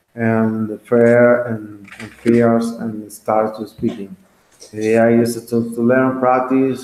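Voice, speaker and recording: At a very slow pace, the speaker talks with a Spanish accent and fairly even intonation. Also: man. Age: 20s. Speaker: English teacher. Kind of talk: online class. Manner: halting.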